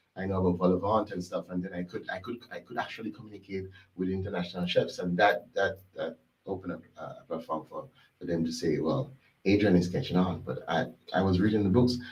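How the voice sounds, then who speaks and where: The voice is somewhat breathy and races along at a very fast pace with ordinary pitch variation. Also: man, very deep, low pitch for a man. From Jamaica, Westmoreland. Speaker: executive chef. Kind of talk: interview. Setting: studio. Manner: halting, repeats words.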